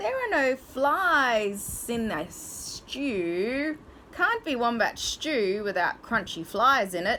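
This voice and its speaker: A woman speaks in a put-on character voice, high-pitched and very slow, with very wide pitch swings. Her speech hisses over light background noise. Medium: read story. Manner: hissing.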